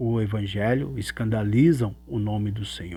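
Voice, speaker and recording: A man with a Brazilian accent at a very slow pace, on a very clean recording with a silent background. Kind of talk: religious teaching monologue. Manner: halting, with fillers.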